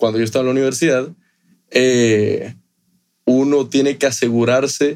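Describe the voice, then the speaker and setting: Fairly even intonation from a man at a medium pitch and a moderate pace. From Ecuador, Guayaquil. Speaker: rum company executive. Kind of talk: casual interview.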